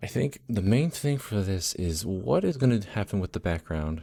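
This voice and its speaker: The recording is very clean, with a silent background. A man with a fairly low, dark, mellow voice talks at a fairly slow pace with lively intonation. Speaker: graphic designer streamer. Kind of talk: casual chat. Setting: live stream. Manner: low-energy.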